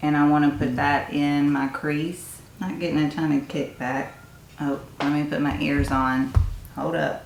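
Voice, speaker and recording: This woman speaks with a Tennessee accent in a very deep, low pitch and fairly even intonation, with noticeable background noise and audible room echo. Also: fairly slow pace. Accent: Southern US (Tennessee). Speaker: beauty YouTuber. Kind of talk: casual makeup review.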